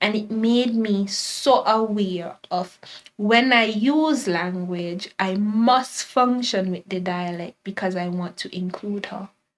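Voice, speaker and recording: A woman talks in a Kittitian accent. Her pace is very slow, with hardly any pauses. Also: medium pitch for a woman, ordinary pitch variation. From St. Kitts and Nevis. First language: Kittitian Creole. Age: 20s. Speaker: teacher and blogger. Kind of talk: casual chat.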